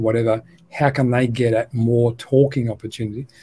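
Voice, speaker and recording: Speaking at a moderate pace with an Australian accent, a man has a dark, mellow tone that is somewhat breathy. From Australia, Melbourne. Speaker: educator and education company co-founder. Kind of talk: interview conversation.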